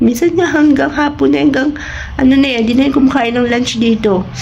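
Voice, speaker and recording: A woman's pitch swings very widely amid noticeable background noise and audible room echo. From Philippines. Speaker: family vlogger. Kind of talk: casual vlog talk. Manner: casual, conversational.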